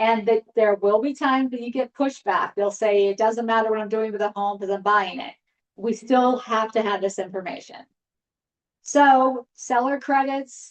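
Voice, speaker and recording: A woman has an unremarkable speaking voice. Her pitch is fairly high and her intonation fairly even. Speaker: real estate trainer. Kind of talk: training session.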